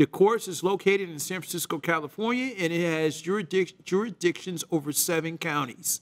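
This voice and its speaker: In a dry, close recording with no echo, a man with a high voice speaks at a moderate pace and varies his pitch in an ordinary way. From US South, Mississippi. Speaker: podcast host. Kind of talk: reading educational material aloud on a podcast. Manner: reading from a script.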